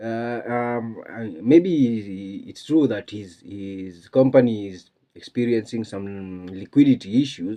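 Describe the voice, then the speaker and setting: The man's tone is dark and mellow. He talks very slowly, with big swings in loudness. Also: medium pitch for a man, ordinary pitch variation. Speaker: online commentator. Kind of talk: casual commentary. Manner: halting.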